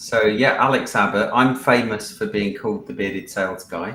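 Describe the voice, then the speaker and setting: Speaking at a moderate pace, a man comes through over noticeable background noise. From Wales. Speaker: sales consultant, panelist. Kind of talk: live-stream panel introduction.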